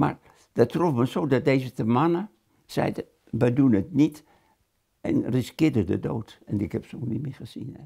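A man speaks at a moderate pace in a dark, mellow, somewhat breathy tone. He leaves long, frequent pauses against a quiet background. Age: 80s+. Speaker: concentration camp survivor, war witness. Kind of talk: interview answer. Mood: grave, recalling wartime horror. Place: home room. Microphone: lapel.

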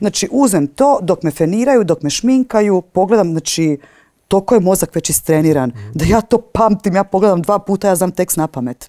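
A woman's medium-pitched voice, dark and mellow, with lively intonation, a fairly quick pace and a quiet background. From eastern Croatia (Slavonia), childhood partly in Switzerland; Croatia. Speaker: stage and screen actress; screen actress. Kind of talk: interview. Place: hall. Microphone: lapel.

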